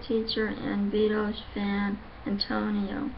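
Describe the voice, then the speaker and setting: A woman speaks at a very slow pace and medium pitch. Audible room echo and noticeable background noise fill the recording. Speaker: vlogger. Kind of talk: casual vlog monologue. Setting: at home. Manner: halting.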